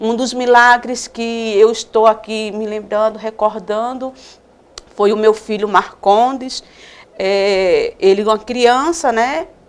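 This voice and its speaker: Against noticeable background noise, a woman with a fairly high pitch speaks very slowly with fairly even intonation. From Northeast Brazil (Alagoas/Paraíba). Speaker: missionary. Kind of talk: religious testimony.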